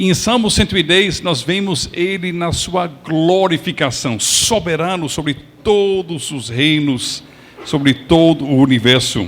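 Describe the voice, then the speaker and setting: A man with an English accent at a very slow pace, over noticeable background noise. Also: fairly high pitch for a man, ordinary pitch variation. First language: English (speaking Portuguese). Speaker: pastor. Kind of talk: sermon.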